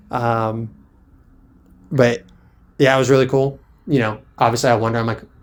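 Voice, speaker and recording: Long, frequent pauses break up speech with fairly even intonation. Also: man, medium pitch for a man, moderate pace. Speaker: podcast co-host. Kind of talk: casual chat. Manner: monotone.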